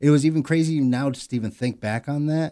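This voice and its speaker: On a very clean recording with a silent background, a man with an American accent talks fairly quickly in a dark, mellow tone. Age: 30s. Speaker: podcast co-host. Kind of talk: casual chat.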